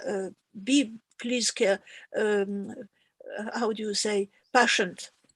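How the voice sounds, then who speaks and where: Very slowly and with long, frequent pauses, a woman speaks at a fairly high pitch. Her intonation is fairly even, and the sound is dry and close with no echo. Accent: non-native. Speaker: harpsichord lecturer. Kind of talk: farewell remarks of online lecture course. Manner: halting.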